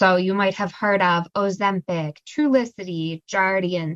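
A woman with a plain, everyday voice speaks at a fairly slow pace and a fairly low pitch with ordinary pitch variation, the sound dry and close with no echo against a quiet background. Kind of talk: educational slide presentation.

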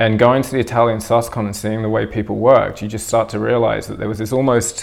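A man with a New Zealand accent talks at a medium pitch, showing vocal fry and fairly even intonation. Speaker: tattooer and suspension practitioner. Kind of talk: interview conversation. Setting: recorded at a body art convention.

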